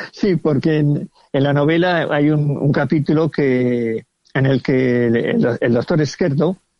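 At a fairly slow pace, a man speaks in an unremarkable speaking voice, fairly high in pitch with ordinary pitch variation. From Villajoyosa, Alicante, Spain. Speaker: novelist. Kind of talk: casual interview.

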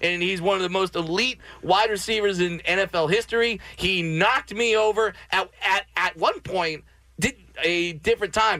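Speaking at a moderate pace, a man uses a raised, projected voice that is high in pitch and very even in loudness. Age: 30s. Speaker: comedian. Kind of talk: casual chat. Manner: animated.

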